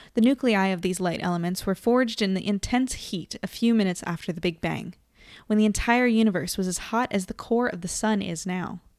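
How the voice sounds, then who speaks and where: A woman with an American accent, medium pitch and ordinary pitch variation on a very clean recording with a silent background. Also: fairly quick pace. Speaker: livestream host. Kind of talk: reading aloud; casual chat. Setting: live stream.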